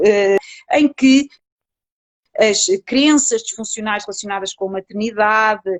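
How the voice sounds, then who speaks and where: A woman at a fairly high pitch, fairly slow in pace, with ordinary variation in pitch. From Portugal. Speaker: psychologist researcher. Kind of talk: online interview. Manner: hesitant with many fillers.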